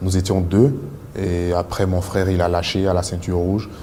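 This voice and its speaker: Over noticeable background noise and audible room echo, a man talks with a very deep, low pitch. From Ivory Coast (Bouaké, Abidjan). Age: 20s. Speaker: martial arts athlete. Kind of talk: personal testimony. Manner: halting, many fillers.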